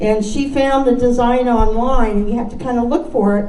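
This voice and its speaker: Speaking with an American accent, a woman keeps a moderate pace at a fairly high pitch with ordinary pitch variation. Noticeable background noise and audible room echo are present. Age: old. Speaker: quilter. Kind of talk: show and tell talk.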